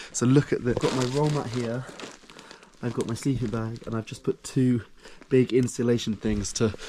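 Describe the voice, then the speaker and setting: The man's pitch sits in the medium range. He talks fairly quickly. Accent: British. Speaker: travel vlogger. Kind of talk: travel vlog narration. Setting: outdoors in mountains. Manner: casual, animated.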